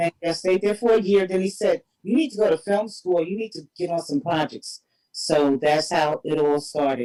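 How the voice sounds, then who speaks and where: Someone speaking at a moderate pace with a New York accent. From Harlem, New York City. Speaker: independent filmmaker. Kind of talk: interview.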